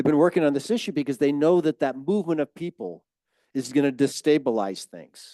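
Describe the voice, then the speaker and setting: Using lively intonation and a dark, mellow tone, a man talks at a fairly quick pace in a dry, close sound with no echo. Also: fairly high pitch for a man. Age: 70s. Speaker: climate educator and speaker. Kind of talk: public talk.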